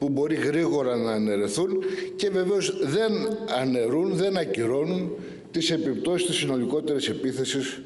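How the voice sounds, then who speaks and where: Audible room echo surrounds the voice. A man speaks at a moderate pace. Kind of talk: political speech. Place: hall. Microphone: podium.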